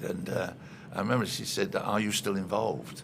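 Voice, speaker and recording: A man with a Cockney accent at a moderate pace, amid audible room echo and noticeable background noise. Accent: Cockney-tinged English. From London, East End. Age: 80s+. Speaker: retired soccer executive. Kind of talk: interview.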